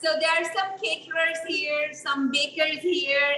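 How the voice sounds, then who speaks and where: A woman speaks in a raised, projected voice. Her pace is fairly slow. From India. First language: not English. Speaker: small business owner, meal kit maker. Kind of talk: interview. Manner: halting, many fillers.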